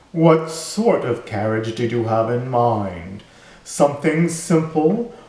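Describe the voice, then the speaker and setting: A man performs a put-on character voice at a fairly high pitch with very wide pitch swings. He talks at a fairly slow pace with a slight echo. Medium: read story.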